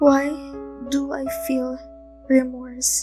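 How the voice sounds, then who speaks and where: Music plays in the background as a woman speaks. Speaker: spoken word poet. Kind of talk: spoken word poetry performance.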